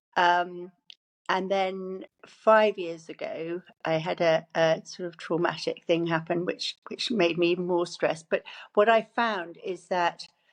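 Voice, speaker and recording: Against a quiet background, a woman with an English accent speaks at a fairly low pitch and a fairly slow pace. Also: fairly even intonation. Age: 60s. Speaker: cancer survivor. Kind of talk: interview. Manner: halting.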